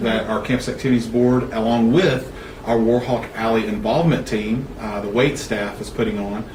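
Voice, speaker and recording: Someone with a Southern US accent speaks at a moderate pace, with audible room echo and noticeable background noise. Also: man. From Alabama, US South. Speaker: university student affairs administrator. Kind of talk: interview. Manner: loud; animated.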